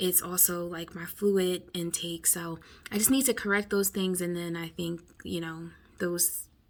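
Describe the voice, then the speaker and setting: Noticeable background noise accompanies a woman's fairly low voice. She talks at a fairly slow pace with fairly even intonation. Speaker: vlogger, home health worker. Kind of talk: casual vlog. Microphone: viewer said mic too quiet.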